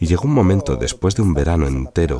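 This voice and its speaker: Lively intonation from a man. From Sicily, Italy. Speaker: novelist. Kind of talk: personal testimony interview.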